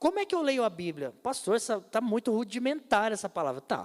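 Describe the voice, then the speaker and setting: Speaking fairly quickly, a man uses a high pitch. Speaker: pastor. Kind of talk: sermon. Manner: fast.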